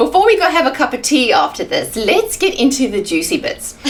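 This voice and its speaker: Her pitch swings very widely as this woman talks at a fairly quick pace. Background noise is noticeable. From South Africa. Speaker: TV host. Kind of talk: interview.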